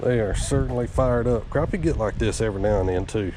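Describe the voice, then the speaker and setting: A man's fairly low voice with an American accent, a fairly quick pace, and noticeable background noise. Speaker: fishing channel host. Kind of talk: outdoor fishing vlog commentary. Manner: casual, excited; quiet, hushed.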